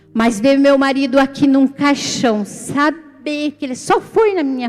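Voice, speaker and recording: With noticeable background noise behind her, a woman speaks at a high pitch with lively intonation. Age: 60s. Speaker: church member, widow and grandmother. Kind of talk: testimony. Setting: church service.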